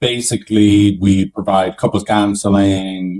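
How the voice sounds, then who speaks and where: This man has a very deep, low pitch and talks at a fairly slow pace. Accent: Irish. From Ireland. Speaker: couples therapist. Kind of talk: podcast interview.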